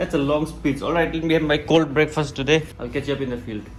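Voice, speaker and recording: With noticeable background noise and audible room echo, a man speaks at a fairly high pitch. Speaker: vlogger. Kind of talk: casual vlog. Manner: stutter.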